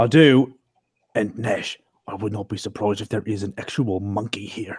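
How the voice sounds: A man speaks at a moderate pace in a fairly low voice with ordinary pitch variation, a slightly mellow tone and a husky, rough edge.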